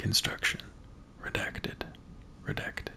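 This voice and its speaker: Over noticeable background noise, a whisper comes through in a relaxed tone. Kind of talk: reading in-game documents aloud. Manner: soft-spoken, relaxed; slow-paced, relaxed.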